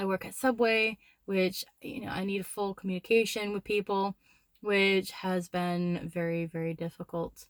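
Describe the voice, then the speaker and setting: With an American accent, a woman talks at a medium pitch and with fairly even intonation, the sound dry and close with no echo. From United States. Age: 20s. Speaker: vlogger. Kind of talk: casual vlog talk. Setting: in a car. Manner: deliberately slow and lowered; halting, many fillers.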